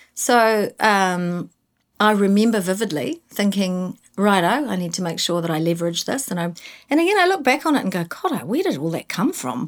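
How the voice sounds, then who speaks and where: With a southern New Zealand accent, a woman talks at a moderate pace and medium pitch, her voice making very wide pitch swings in a very clean recording with a silent background. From New Zealand, Invercargill. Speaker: advertising creative director. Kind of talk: interview.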